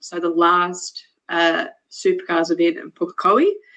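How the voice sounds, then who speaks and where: With a New Zealand accent, a woman speaks at a medium pitch with ordinary pitch variation. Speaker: motorsport engineer and racer. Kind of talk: casual chat.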